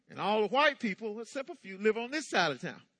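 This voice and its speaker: In an American accent, a man projects a raised, high-pitched voice with a bright, sharp tone. His intonation is lively, and the sound is dry and close with no echo. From US South, eastern North Carolina. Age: 60s. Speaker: pastor. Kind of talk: sermon. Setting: church.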